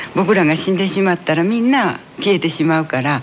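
With noticeable noise in the background, a man speaks fairly quickly, his pitch high and its variation ordinary. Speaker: folk tale writer and playwright. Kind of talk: interview.

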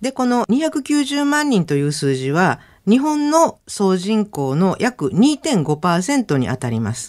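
A woman speaks with very wide pitch swings. The recording is very clean, with a silent background. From Osaka, Japan. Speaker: lecturer and former midwife. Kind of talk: radio lecture. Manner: formal.

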